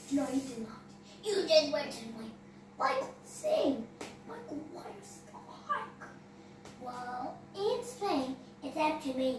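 A cartoonish character voice, female-sounding and high-pitched, at a very slow pace with long, frequent pauses, slight echo, and clear background noise. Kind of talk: homemade comic puppet play. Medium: puppet show. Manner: whiny, bickering, shouting.

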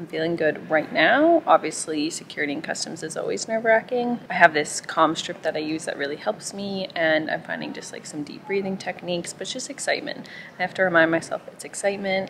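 A woman's fairly low voice at a fairly quick pace, hardly any pauses and big swings in loudness, over noticeable background noise. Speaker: travel vlogger. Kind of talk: casual vlog chat. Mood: calm, a bit excited. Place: station. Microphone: phone near.

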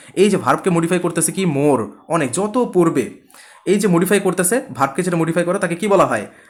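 A man talks in a high pitch. The variation in his pitch is ordinary. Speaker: nursing admission coaching teacher. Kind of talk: online class lecture. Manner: some stuttering.

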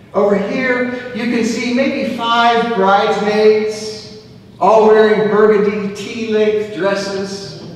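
Speaking slowly at a high pitch with little pitch movement, a man is heard in strong room echo.

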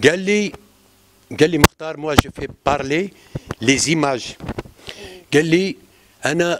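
Delivery is very slow, with long, frequent pauses and big swings in loudness. Pitch variation is ordinary, and there is noticeable background noise. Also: man. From Algeria. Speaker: ciné-club organizer. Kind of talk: public talk at film screening. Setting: screening room with audience. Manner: halting. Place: hall. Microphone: handheld.

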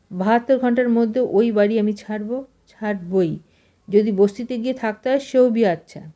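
Plain reading aloud of text

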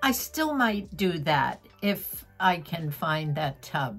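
Lively intonation carries the speech over faint music in the background. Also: woman. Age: 80s+. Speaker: vlogger, retired teacher. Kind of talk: casual chat. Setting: at home. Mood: warm, nostalgic. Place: home room. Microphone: phone near.

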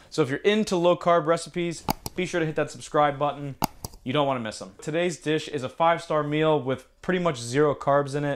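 The voice has ordinary pitch variation. Background noise is noticeable. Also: man, fairly quick pace. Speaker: cooking channel host. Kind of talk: cooking tutorial intro. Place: kitchen.

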